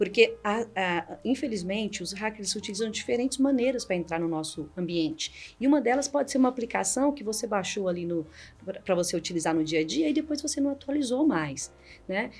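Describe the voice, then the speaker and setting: Fairly quick speech in a Minas Gerais accent with very wide pitch swings. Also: woman, fairly high pitch for a woman. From Minas Gerais, Brazil. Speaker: cybersecurity executive. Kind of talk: podcast interview. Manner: animated.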